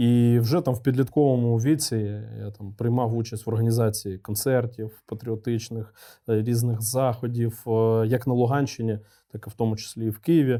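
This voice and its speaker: At a moderate pace, a man talks in a medium pitch with a dark, mellow tone and fairly even intonation, recorded very cleanly against a silent background. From eastern Ukraine, Luhansk region. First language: Russian (speaking Ukrainian). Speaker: military commander. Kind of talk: interview.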